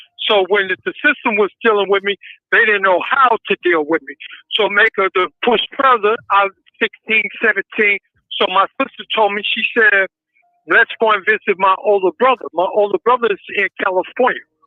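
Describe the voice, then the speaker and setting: A man speaks in a high pitch at a moderate pace. His pitch varies in an ordinary way, with music in the background. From Boston. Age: 60s. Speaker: reformed ex-offender. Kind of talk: interview. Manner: halting.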